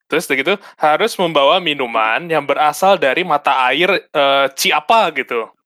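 Speaking at a moderate pace, a man has a fairly high pitch, ordinary pitch variation and very even loudness. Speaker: podcast co-host. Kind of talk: casual chat.

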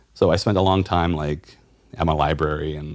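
Fairly even intonation from a man with an American accent. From South Carolina. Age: 30s. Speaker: tattoo artist and illustrator. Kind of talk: casual interview chat.

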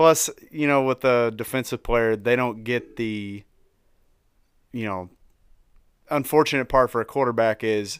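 With a slight Tennessee accent, a man speaks at a moderate pace using fairly even intonation. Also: very clean recording, silent background. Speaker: sports merchandise seller. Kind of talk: casual chat. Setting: studio.

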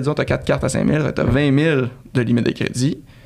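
With a Quebec accent, a man talks using fairly even intonation. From Canada. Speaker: travel website co-founder. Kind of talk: interview.

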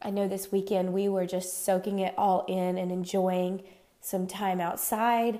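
The speaker talks at a fairly slow pace in a dark, mellow tone. The intonation stays monotone and flat. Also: woman. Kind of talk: podcast monologue, Bible study. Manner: warm, chatty.

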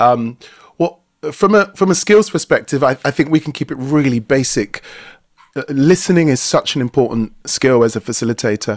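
This man has a fairly high voice and lively intonation. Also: moderate pace, dry, close sound with no echo. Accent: South London. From South London, England. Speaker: workplace culture and facilitation expert. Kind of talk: expert talk in live webinar. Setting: video call.

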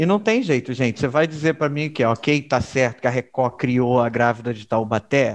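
Moderate pace, hardly any pauses, and ordinary pitch variation in a man's medium-pitched voice. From Rio de Janeiro, Baixada Fluminense (Caxias). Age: 30s. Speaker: podcast co-host. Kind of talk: casual chat. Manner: animated.

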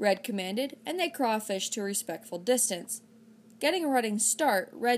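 The speaker reads aloud in a natural voice, the intonation lively.

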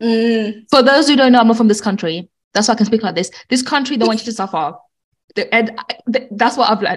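Very fast, somewhat breathy speech. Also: woman, fairly high pitch for a woman, ordinary pitch variation. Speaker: respiratory nurse co-host. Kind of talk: casual chat.

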